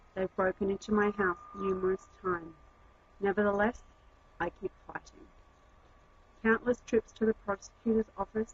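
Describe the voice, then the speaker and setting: Over noticeable background noise, a woman speaks at a moderate pace with medium pitch. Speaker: activist, crime victim. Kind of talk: scripted narration. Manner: formal.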